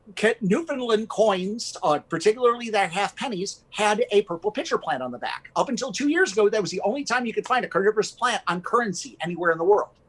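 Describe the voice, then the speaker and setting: An energetic man with an American accent, a high pitch and lively intonation talks at a fairly quick pace in a dry, close sound with no echo. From US Midwest (Michigan). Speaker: carnivorous plant gallery owner. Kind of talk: live stream interview. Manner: fast.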